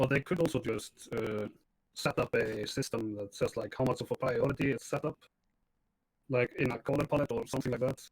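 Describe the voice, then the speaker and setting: Speech moves at a fairly quick pace, somewhat breathy. The sound is dry and close, with no echo. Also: man, medium pitch for a man, ordinary pitch variation. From Iceland. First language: Icelandic. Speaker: video game streamer. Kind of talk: casual chat.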